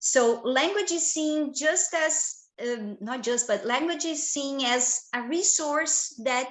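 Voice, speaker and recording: The speaker uses ordinary pitch variation and talks with a Portuguese accent. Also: woman. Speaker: professor. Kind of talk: lecture. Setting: video call. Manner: halting.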